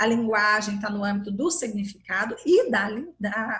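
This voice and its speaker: With an animated, bright, sharp tone, a woman speaks at a fairly high pitch and moderate pace with ordinary pitch variation. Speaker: university lecturer in educational psychology. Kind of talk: lecture.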